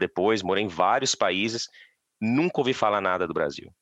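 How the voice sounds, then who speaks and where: In a dry, close recording with no echo and a quiet background, a man with a Minas Gerais accent speaks at a fairly quick pace with ordinary pitch variation. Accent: Minas Gerais (mineiro) Portuguese. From Minas Gerais, Brazil. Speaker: forestry engineer, Brazilian immigrant. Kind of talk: casual interview chat.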